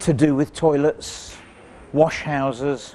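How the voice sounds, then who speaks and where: Speaking at a very slow pace, a man has a fairly high pitch and monotone, flat intonation. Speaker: ghost tour presenter. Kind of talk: casual on-location talk to camera.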